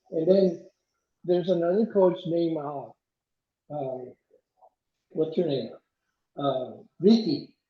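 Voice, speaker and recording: A high-pitched man speaks at a fairly slow pace with ordinary pitch variation and long, frequent pauses. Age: 70s. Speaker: ultramarathon runner. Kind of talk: casual chat. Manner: halting.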